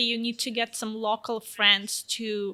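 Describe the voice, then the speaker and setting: With a Russian accent, a woman speaks in a bright, sharp tone. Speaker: fashion model. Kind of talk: interview. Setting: office.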